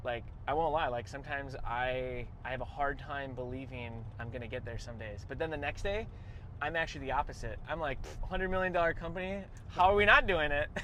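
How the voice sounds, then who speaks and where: A man talks at a very fast pace with an American accent and a fairly high pitch. His tone is bright and sharp, his intonation lively, with audible room echo. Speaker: business owner and podcast host. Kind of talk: casual chat. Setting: on the road after a kennel visit.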